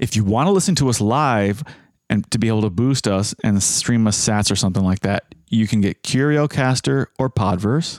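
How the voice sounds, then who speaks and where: A man with a normal speaking voice talks at medium pitch and moderate pace, with ordinary pitch variation and very even loudness, in a very clean recording with a silent background and a dry, close sound with no echo. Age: 30s. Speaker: podcast host. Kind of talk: casual chat.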